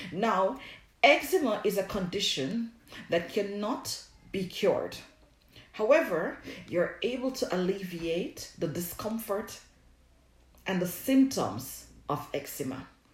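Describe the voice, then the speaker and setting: With a Jamaican accent, a woman talks very slowly, her pitch swinging very widely and long pauses coming often. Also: medium pitch for a woman. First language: Jamaican Patois. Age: 40s. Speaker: herbalist and skincare product maker. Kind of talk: live stream Q&A. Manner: casual, hesitant with fillers.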